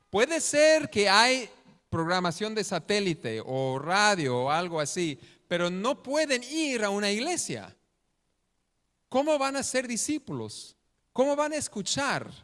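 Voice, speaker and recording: In a very clean recording with a silent background, a man with a non-native accent speaks at a fairly slow pace in a high pitch, his bright, sharp tone carrying very wide pitch swings. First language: not Spanish (speaking Spanish). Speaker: missionary preacher. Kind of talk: sermon. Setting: church. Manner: halting.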